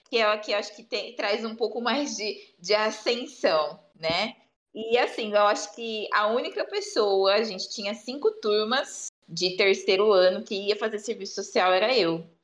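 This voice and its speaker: A woman speaks in a normal speaking voice at a fairly high pitch, with ordinary pitch variation and a fairly slow pace. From Brazil, São Paulo state (Bauru). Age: 20s. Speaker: social worker. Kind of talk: interview conversation.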